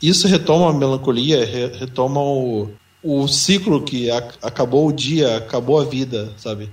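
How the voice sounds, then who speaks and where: This man's somewhat breathy voice sits at a medium pitch, moving at a fairly slow pace with ordinary pitch variation. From São Paulo, Brazil. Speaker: podcast co-host. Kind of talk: casual chat.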